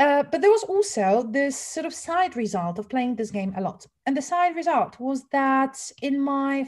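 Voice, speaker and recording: A high-pitched woman with a Polish accent speaks at a moderate pace, her pitch swinging very widely. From Poland. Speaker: English teacher trainer. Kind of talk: webinar lecture. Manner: casual, with fillers. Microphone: sound issues.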